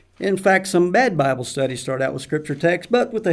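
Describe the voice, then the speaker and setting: Delivery is at a fairly quick pace. The recording is very clean, with a silent background. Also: man. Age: 60s. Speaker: Bible teacher. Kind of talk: Bible study lesson.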